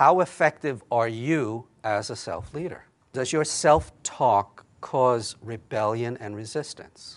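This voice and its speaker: A man with an American accent talks at a very slow pace and medium pitch, with ordinary pitch variation, big swings in loudness and hardly any pauses. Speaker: psychologist and keynote speaker. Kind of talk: keynote talk.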